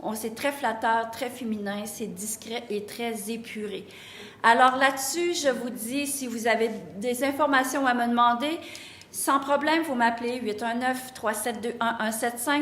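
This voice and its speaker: A woman speaks at a fairly slow pace in a high voice. The room echo is audible and the background noise is noticeable. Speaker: boutique owner. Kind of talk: sales pitch. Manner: hesitant, with fillers.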